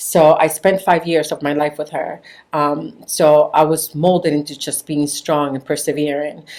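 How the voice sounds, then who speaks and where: A woman speaks with a Spanish accent at a moderate pace. Her very deep, low voice stays monotone and flat. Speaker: podcast guest. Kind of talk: interview conversation.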